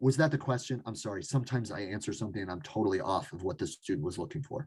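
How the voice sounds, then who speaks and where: Speaking at a very fast pace, a man with a medium pitch sounds somewhat breathy, his intonation lively. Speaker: math instructor. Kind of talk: lecture.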